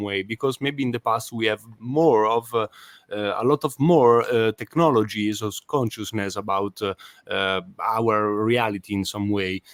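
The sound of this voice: At a fairly slow pace, a man talks in a fairly bright tone.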